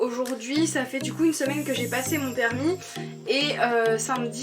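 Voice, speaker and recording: Music plays in the background as a woman speaks at a moderate pace in an upbeat tone. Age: 20s. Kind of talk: casual talk to camera. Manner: upbeat, chatty.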